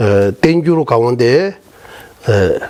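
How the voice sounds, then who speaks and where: Over noticeable background noise, a man in a Tibetan accent talks very slowly at a medium pitch with lively intonation. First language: Tibetan (speaking Korean). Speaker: Buddhist monk teacher. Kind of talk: lecture. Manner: halting, many fillers.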